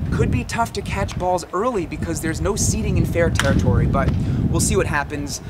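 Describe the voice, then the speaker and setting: A man speaks at a fairly quick pace through loud background noise. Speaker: sports vlogger. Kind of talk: casual vlog chat. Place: stadium. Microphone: camera far.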